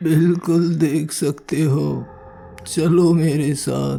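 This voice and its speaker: A man puts on a cartoonish character voice, fairly high in pitch, and speaks at a very slow pace. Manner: calm, friendly.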